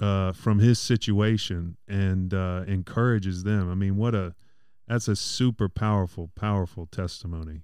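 Fairly low in pitch, a man with a plain, everyday voice talks at a moderate pace on a very clean recording with a silent background. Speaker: podcast co-host. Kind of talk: casual interview.

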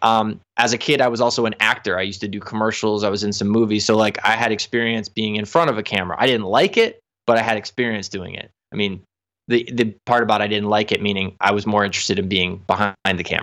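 A man speaks at a very fast pace in a fairly low pitch, captured in a very clean recording against a silent background. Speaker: professional saxophonist and music teacher. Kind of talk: interview. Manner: animated.

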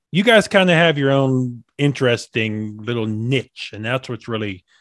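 The recording is dry and close with no echo, as a man at medium pitch talks with lively intonation. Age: 30s. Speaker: podcast host. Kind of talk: interview. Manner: halting, many repetitions.

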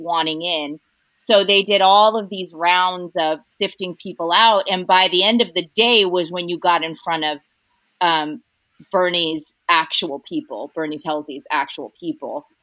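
A woman with a Californian accent speaks fairly slowly in a bright, sharp tone at a fairly low pitch. Her pitch variation is ordinary, and the sound is dry and close with no echo. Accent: Californian American. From Southern California, North Orange County. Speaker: actress. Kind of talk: casual chat. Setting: remote call from home.

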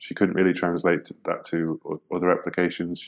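A man with a British accent speaks at a very deep, low pitch in a monotone, flat intonation. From Britain. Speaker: UX designer. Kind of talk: interview. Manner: hesitant, many fillers.

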